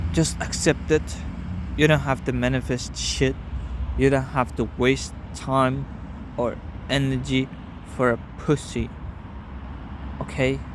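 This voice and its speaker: A man with a non-native accent, at a fairly slow pace with long, frequent pauses. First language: not English. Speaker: vlogger. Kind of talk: casual personal vlog monologue. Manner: halting.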